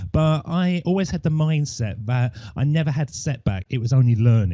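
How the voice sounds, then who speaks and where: A man speaks at a moderate pace, his medium-pitched voice somewhat breathy. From Essex, England. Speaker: podcaster. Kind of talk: interview.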